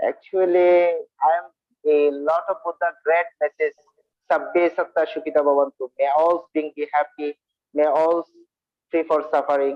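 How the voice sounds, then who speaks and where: A man with a Bengali accent speaks in a fairly high pitch. His intonation is fairly even. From India. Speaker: Buddhist monk and speaker. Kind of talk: dharma talk. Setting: video call. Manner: halting.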